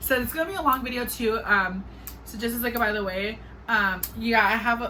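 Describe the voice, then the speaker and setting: A woman speaks with ordinary pitch variation. Audible room echo and noticeable background noise fill the recording. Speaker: vlogger. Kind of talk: casual vlog. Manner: fast.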